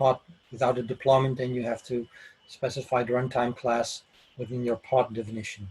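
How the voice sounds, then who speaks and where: At a moderate pace with long, frequent pauses, a man with a Dutch accent speaks in a monotone, flat intonation. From Netherlands, Amsterdam. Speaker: IT architect giving a conference talk. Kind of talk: technical presentation. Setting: online session from home office. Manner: halting, many fillers.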